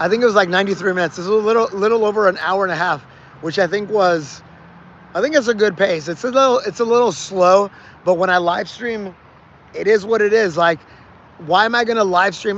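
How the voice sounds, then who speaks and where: A man speaks loudly and at a very fast pace. His pitch is high. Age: 40s. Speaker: fitness livestreamer. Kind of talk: casual chat to livestream viewers during workout. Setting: livestream. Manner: projecting loudly; repetitive, filler-heavy.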